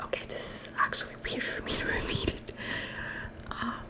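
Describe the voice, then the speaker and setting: A woman whispers over noticeable background noise. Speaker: ASMR creator. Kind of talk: ASMR show-and-tell. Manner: whispered.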